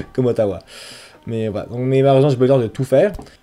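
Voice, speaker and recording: A man's voice, medium in pitch, comes through with music playing in the background. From Quebec City, French mother. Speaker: travel vlogger. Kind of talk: casual year-in-review vlog. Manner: hesitant, many fillers.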